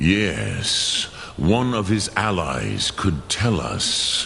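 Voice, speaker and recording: In a put-on character voice, a man speaks very slowly and solemnly at a very deep, low pitch, with a clear echo and clear background noise. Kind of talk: ancient wise mentor. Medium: video game. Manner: slow, measured, solemn.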